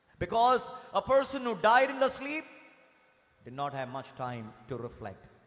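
Against a quiet background, a speaker with an Indian accent uses an animated tone and very wide pitch swings. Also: man, long, frequent pauses, big swings in loudness. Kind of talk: fervent sermon to a congregation, with call-and-response praise. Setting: church congregation. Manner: animated, emphatic, urging the crowd with raised energy; earnest, with repetition and direct address. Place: church. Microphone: podium.

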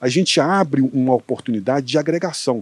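A dry, close sound without echo, carrying ordinary pitch movement. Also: man. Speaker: agricultural researcher. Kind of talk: interview. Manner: fast.

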